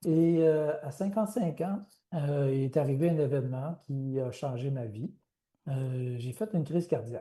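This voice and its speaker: A man talks at a very slow pace, fairly high in pitch, with ordinary pitch variation. His tone is dark and mellow and somewhat breathy, against a quiet background. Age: 60s. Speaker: author and researcher. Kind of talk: interview. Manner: halting, many hesitations.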